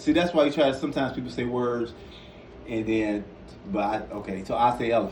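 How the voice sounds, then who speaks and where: The speech is very fast, with long, frequent pauses. Background noise is noticeable, and room echo can be heard. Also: man, medium pitch for a man, ordinary pitch variation. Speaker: piano teacher. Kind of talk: tutorial.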